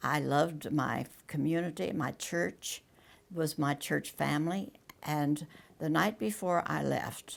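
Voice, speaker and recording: With an American accent, a woman with a very deep, low pitch speaks with lively intonation, vocal fry, and very even loudness. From US small town. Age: 90s. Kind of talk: interview testimony. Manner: halting.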